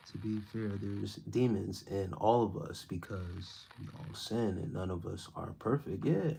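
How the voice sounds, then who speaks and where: Noticeable background noise around a man's fairly slow, fairly low-pitched speech. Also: ordinary pitch variation, big swings in loudness. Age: 30s. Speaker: spiritual content creator. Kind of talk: live stream chat reading comments. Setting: live stream. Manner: stumbling over words.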